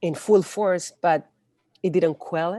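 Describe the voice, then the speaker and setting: In a Spanish accent, a woman with a fairly low pitch and a dark, mellow tone speaks at a fairly slow pace, the sound dry and close with no echo over a quiet background. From Chile. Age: 40s. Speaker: activist. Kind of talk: interview. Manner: halting.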